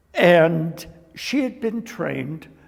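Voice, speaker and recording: Someone with a Canadian accent talks over noticeable background noise. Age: 70s. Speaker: dancer and choreographer. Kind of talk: interview.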